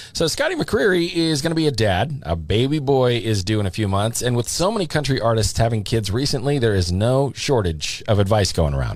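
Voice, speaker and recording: A man at medium pitch speaks at a fairly quick pace with hardly any pauses, his pitch swinging very widely while his loudness stays very even. Background noise is noticeable. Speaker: radio DJ. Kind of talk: radio show host break.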